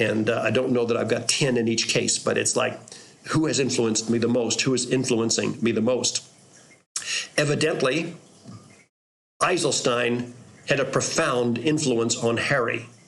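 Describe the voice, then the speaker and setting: At a moderate pace with long, frequent pauses, a man speaks at medium pitch with fairly even intonation and very even loudness, and room echo is audible. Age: 60s. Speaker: pastor. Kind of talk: reflective storytelling monologue. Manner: halting, with repeated words.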